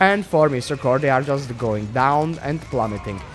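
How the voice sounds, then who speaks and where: There is noticeable background noise behind this man. He talks at a moderate pace with a fairly high pitch. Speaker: game caster. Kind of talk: live commentary. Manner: stuttering.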